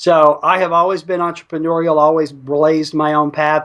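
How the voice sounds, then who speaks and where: This man speaks at a moderate pace with a fairly high pitch. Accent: Alabama. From US South, North Alabama. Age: 50s. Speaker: internet marketer and entrepreneur. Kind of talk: interview.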